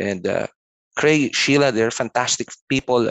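A man talks with ordinary pitch variation. The background is quiet and the sound is dry, with no echo. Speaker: guest. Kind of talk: interview answer. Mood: warm, grateful. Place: home room. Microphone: video call.

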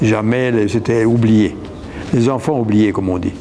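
With light background noise, a man speaks with a Burundian accent. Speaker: mixed-race community member. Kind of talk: testimony. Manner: halting. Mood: reflective, somewhat sad. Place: hall. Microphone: lapel.

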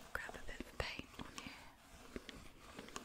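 A woman whispering. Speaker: ASMR creator. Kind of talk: whispered ASMR video. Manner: soft, gentle, whispered. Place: home room.

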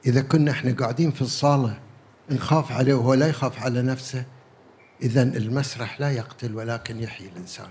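A man's somewhat breathy voice of medium pitch, with fairly even intonation. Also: moderate pace. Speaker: theatre veteran. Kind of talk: panel remarks. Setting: stage with audience. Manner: jovial.

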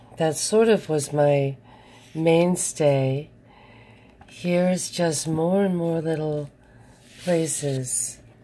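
A woman's very deep, low voice, very slow in pace, with ordinary pitch variation. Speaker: video blogger. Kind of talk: casual chat. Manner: casual, rambling.

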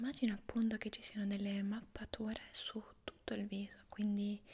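A woman whispers, soft-spoken. Her tone is calm and soothing. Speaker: asmr creator. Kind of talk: asmr whispered roleplay, soft-spoken face reflexology lesson. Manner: soft-spoken, slow, calm and soothing, whispered. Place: home room.

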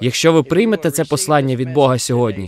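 A man is speaking. There is light background noise and a dry sound with no echo. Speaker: visiting preacher. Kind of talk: sermon. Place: garden. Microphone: handheld.

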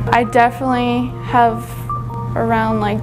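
Clear music plays in the background. A woman talks with an American accent. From northern New York. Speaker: collision repair student. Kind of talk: interview answer. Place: workshop. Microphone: lapel.

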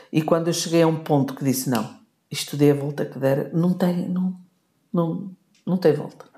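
Woman with a very deep, low pitch, a dark, mellow, somewhat breathy tone, ordinary pitch variation and a moderate pace broken by long, frequent pauses. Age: 60s. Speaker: podcast co-host, wife of the host. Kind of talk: casual chat.

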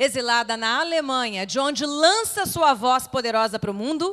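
A woman with a Brazilian accent, high pitch, a bright, sharp tone and very wide pitch swings, over a quiet background. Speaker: forum host, journalist. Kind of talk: speaker introduction. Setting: stage with audience. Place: hall. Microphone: handheld.

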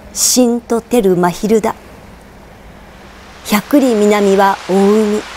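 Noticeable background noise sits behind a woman talking at a medium pitch. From Tokyo. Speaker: actress. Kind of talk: poetry reading.

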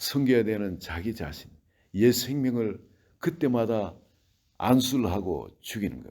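The man's voice has a dark, mellow tone and a medium pitch. He talks at a fairly slow pace with ordinary pitch variation. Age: 60s. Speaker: pastor. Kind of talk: sermon.

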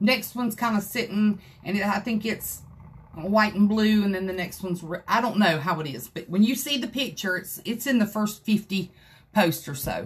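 Speaking in an American accent, a woman keeps a moderate pace and ordinary pitch variation. Her tone is animated and somewhat breathy. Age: 50s. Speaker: craft video creator. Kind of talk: livestream tutorial. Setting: craft room livestream. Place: home room. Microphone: phone near.

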